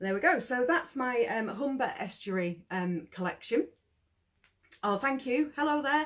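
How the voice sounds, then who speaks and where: Speaking at a fairly slow pace, a woman uses a high pitch with very wide swings up and down. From East Yorkshire, Hull. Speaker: yarn dyer and small business owner. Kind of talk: live-stream product showcase. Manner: hesitant, many fillers.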